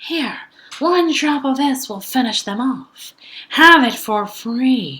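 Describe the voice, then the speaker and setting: A woman puts on a character voice. It sits high in pitch and moves at a very slow pace. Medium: read story.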